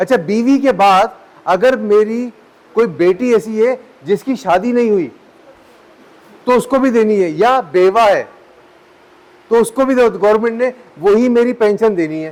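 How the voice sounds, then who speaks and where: With noticeable background noise behind him, a man speaks in a high pitch with ordinary pitch variation and long, frequent pauses. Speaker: lecturer. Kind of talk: lecture. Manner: conversational, halting with self-corrections.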